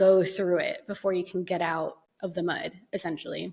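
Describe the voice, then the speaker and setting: In a very clean recording with a silent background, a woman uses a normal speaking voice at a moderate pace with ordinary pitch variation. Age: 30s. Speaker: podcast host. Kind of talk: casual chat. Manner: conversational, with fillers.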